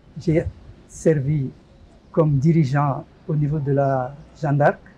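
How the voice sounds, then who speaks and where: This man's voice has a fairly high pitch. It sounds somewhat breathy. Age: 70s. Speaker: retired parish lay association leader. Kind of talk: interview. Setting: studio.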